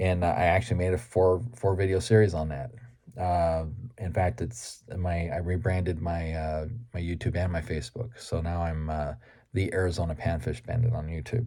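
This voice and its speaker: This man has a very deep, low pitch and a dark, mellow tone, somewhat breathy, with ordinary pitch variation. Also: moderate pace. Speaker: fishing YouTuber. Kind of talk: casual vlog talk.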